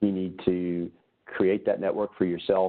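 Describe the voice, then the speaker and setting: A man in a Southern Louisiana accent speaks with a very deep, low pitch and a monotone, flat intonation. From south Louisiana. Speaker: gastroenterologist. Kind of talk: webinar presentation. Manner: casual, with many fillers.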